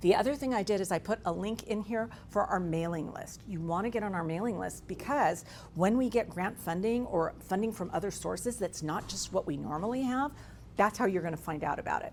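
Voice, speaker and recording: A woman talks at a fairly quick pace with lively intonation. Her pitch is medium, and her voice has vocal fry. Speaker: state workforce training agency representative. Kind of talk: presentation to business audience. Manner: fast.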